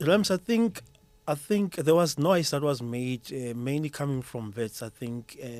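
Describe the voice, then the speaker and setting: A man speaks with a Zulu accent. His pace is fairly slow. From South Africa. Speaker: school mathematics educator. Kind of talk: podcast interview. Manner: repetitive restarts, stammering.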